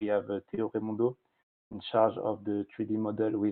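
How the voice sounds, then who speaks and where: Speaking in a French accent, a man keeps a monotone, flat intonation at a moderate pace and a fairly low pitch. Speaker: engineering student. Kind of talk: presentation.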